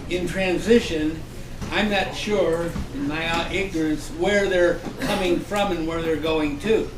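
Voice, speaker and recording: Over noticeable background noise and audible room echo, a man with a high pitch speaks with fairly even intonation. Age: 80s+. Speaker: panel participant. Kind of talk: panel discussion.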